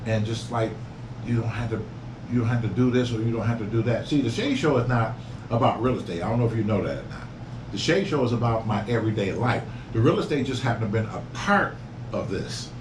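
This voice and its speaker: At a very fast pace and with ordinary pitch variation, the speech comes through audible room echo and noticeable background noise. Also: man, medium pitch for a man. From Detroit, US Midwest. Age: 60s. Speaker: YouTuber and real estate investor. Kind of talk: casual interview chat.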